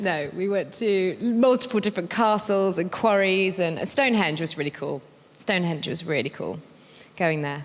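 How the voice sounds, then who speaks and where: A woman with a British accent, medium pitch, lively intonation and a moderate pace. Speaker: actor. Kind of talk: casual chat.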